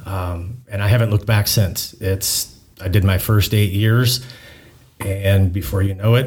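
The voice is somewhat breathy and moves at a fairly slow pace. Its intonation stays fairly even. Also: man. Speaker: public works coordinator and Navy reservist. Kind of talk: interview.

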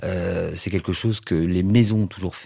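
Very deep and low, a man's voice carries a dark, mellow tone and fairly even intonation at a fairly quick pace. The recording is very clean, with a silent background. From southwest France, Toulouse. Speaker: luxury digital strategy expert. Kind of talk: interview.

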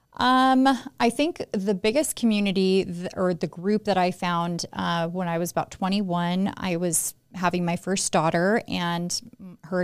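Pitched in the medium range, a woman has an unremarkable speaking voice and fairly even intonation. She moves at a moderate pace on a very clean recording with a silent background. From Las Vegas, Nevada. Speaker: real estate agent and podcast co-host. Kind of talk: casual chat.

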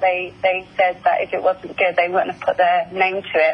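Over noticeable background noise, a woman with an Essex accent speaks at a medium pitch and a moderate pace. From England, Essex. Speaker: singer-songwriter. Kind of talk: interview. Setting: phone call.

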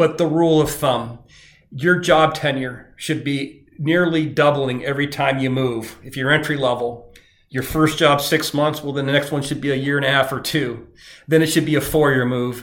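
In a room with audible echo, a man with a fairly high voice talks at a moderate pace with fairly even intonation. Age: 50s. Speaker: recruiter and podcast host. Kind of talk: solo advice podcast monologue.

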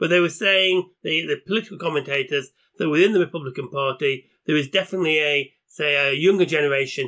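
Talking very fast, a man with a British accent has a bright, sharp tone and fairly high pitch. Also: ordinary pitch variation, hardly any pauses. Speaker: podcast host. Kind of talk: casual chat.

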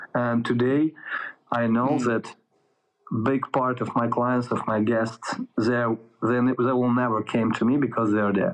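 A man speaks with a Russian accent at a fairly slow pace, his loudness very even and his intonation fairly even. Long pauses come often. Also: medium pitch for a man. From Ukraine. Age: 30s. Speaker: soldier. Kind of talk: interview. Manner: halting; profane.

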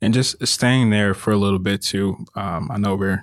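A man speaks at a fairly low pitch and a moderate pace, with ordinary pitch variation, in a normal speaking voice. The sound is dry and close, with no echo. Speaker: podcast co-host. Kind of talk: casual chat.

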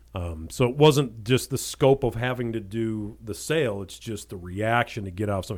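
With ordinary pitch variation and a moderate pace, an ordinary speaking voice is heard on a very clean recording with a silent background. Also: man. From Ohio, Cleveland suburbs, then southern Indiana/Kentucky. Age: 40s. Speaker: real estate agent. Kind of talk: casual interview chat.

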